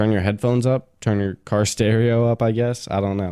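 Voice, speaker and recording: A man speaks quietly at a fairly quick pace, his fairly low voice dark and mellow in tone with fairly even intonation, on a very clean recording with a silent background. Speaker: podcast host. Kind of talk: casual solo podcast talk.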